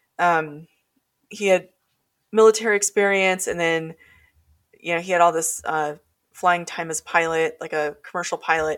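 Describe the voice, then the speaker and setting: A woman with an Alaskan accent speaks at a moderate pace, her pitch fairly low and her intonation fairly even. She leaves long, frequent pauses, and the recording is very clean with a silent background. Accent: Alaskan American English. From Alaska, North Pole. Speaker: paranormal researcher and author. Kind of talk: casual interview storytelling.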